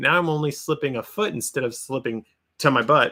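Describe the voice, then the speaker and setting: On a very clean recording with a silent background, a man talks at a very fast pace in a bright, sharp tone with ordinary pitch variation. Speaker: antique book reseller, YouTuber. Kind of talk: live stream Q&A, casual chat. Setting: live stream. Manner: animated.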